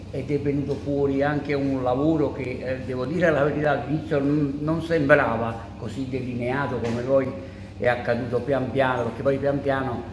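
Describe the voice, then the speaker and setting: A man at a moderate pace, fairly even intonation, and noticeable background noise. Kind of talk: interview answer. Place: hall. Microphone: handheld.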